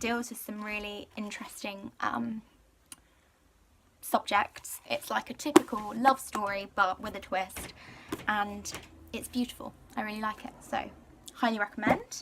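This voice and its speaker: A woman talks at a fairly slow pace with fairly even intonation. Long pauses come often. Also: fairly high pitch for a woman, big swings in loudness. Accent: British. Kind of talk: casual talk to camera. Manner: chatty, rambling.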